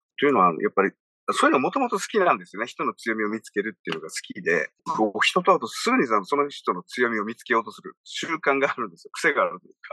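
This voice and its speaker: A man talking at a very fast pace, big swings in loudness, dry close sound with no echo. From Okinawa, Japan. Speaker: radio personality and business producer. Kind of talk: casual interview.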